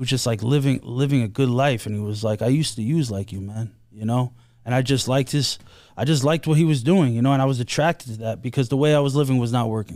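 Speaking at a very fast pace in an American accent, a man with a medium pitch and ordinary pitch variation comes through on a very clean recording with a silent background. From New York, Queens (Bayside). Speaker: guest in addiction recovery. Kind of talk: recovery testimony interview. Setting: studio. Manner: halting, many fillers.

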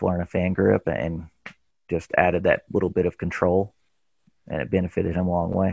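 The speech moves at a fairly quick pace. It comes with a Tennessee accent. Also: man. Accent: Southern US (Tennessee). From Tennessee, US South. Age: 30s. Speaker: professional disc golfer. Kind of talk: casual interview chat.

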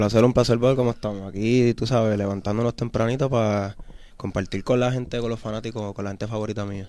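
Talking very fast, a man with a Puerto Rican accent keeps a medium pitch and a monotone, flat intonation. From Puerto Rico, Vieques and Fajardo. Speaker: musician. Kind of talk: interview.

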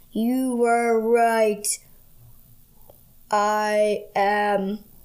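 Putting on a character voice, a woman speaks at a fairly high pitch with monotone, flat intonation. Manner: eerie.

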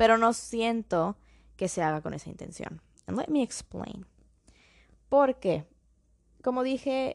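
Over a quiet background, a woman's lively intonation moves at a fairly slow pace in a dry, close sound with no echo. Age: young. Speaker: podcast host. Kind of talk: solo podcast monologue. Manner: code-switching Spanish and English.

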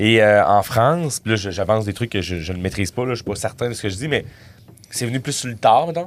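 Speaking in a Quebec accent, a man moves at a fairly quick pace with lively intonation on a very clean recording with a silent background. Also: medium pitch for a man. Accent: Québécois French. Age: 30s. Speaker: comedian. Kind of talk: casual chat.

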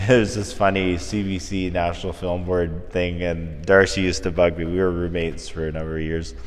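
A man with a Canadian accent and very deep, low pitch talks at a fairly quick pace with hardly any pauses and fairly even intonation, music playing in the background. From northern Alberta, Canada. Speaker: visual artist. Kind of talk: casual interview. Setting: art gallery.

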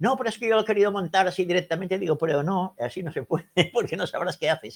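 His speech is very fast, high-pitched and lively in intonation, from a man. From Spain, Menorca. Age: 70s. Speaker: radio technician and ham radio operator. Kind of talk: casual technical talk. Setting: video call.

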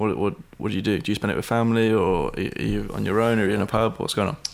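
A man talks at a very fast pace with vocal fry. His pitch varies in an ordinary way. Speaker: podcast host. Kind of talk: casual chat.

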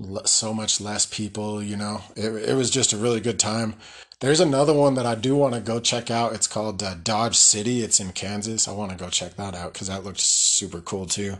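Delivered at a fairly quick pace, the speech is in a normal speaking voice with ordinary pitch variation. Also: man, fairly low pitch for a man. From Colorado. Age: 30s. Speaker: podcast host, army veteran. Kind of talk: casual monologue. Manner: casual, laughing often.

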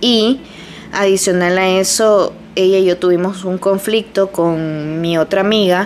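A fairly slow pace, with fairly even intonation, very even loudness and noticeable background noise. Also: woman, medium pitch for a woman. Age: 30s. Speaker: podcaster. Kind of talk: personal monologue. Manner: casual.

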